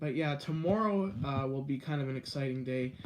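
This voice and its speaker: This man has a fairly high pitch and ordinary pitch variation. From Canada, Guelph, Ontario. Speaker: live streamer, video creator. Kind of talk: live stream chat with viewers. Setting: indoors, live stream. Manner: fast.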